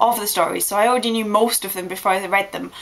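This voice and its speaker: Over noticeable background noise, a woman with medium pitch speaks in an English accent. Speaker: vlogger. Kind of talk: casual vlog monologue. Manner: fast; animated.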